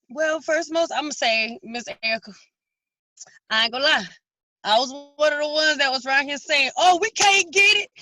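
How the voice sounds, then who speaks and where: A woman's high-pitched, bright and sharp voice, raised and projected, with lively intonation, a moderate pace and long, frequent pauses. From South Carolina. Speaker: guest. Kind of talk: casual interview chat.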